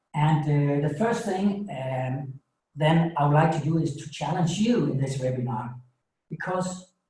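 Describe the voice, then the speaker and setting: Audible room echo surrounds a man who speaks at a fairly slow pace with a fairly high pitch. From Denmark. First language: Danish. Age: 50s. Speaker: coach and author. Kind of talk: webinar presentation. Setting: small home studio. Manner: halting, with many fillers.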